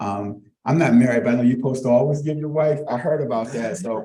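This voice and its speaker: Speaking with an American accent, a man has a dark, mellow tone at a medium pitch. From Arlington, Virginia (Halls Hill). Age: 60s. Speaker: community speaker introducing a lecture. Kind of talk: public introduction speech. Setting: live event with audience. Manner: halting, many fillers; informal.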